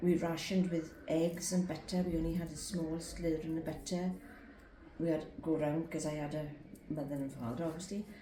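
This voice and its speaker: Amid noticeable background noise and audible room echo, a woman with a fairly low pitch speaks at a fairly quick pace with fairly even intonation. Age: 80s+. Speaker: interviewee recalling wartime childhood. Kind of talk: interview.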